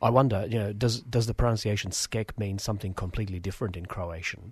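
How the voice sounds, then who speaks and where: Rushing at a very fast pace with hardly any pauses, a man speaks in a somewhat breathy voice with fairly even intonation. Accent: Australian. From Australia. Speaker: community radio host. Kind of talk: casual chat. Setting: studio.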